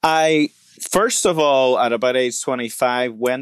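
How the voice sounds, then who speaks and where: Medium-pitched male voice with an Irish accent, dry and close with no echo. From Republic of Ireland, rural. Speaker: pastor. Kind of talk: interview conversation.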